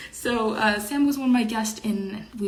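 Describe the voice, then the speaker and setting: A woman with a slight French Canadian accent and a fairly high pitch, ordinary pitch variation, audible room echo and noticeable background noise. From Quebec, Montreal. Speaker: online show host. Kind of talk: casual chat. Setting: livestream. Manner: halting.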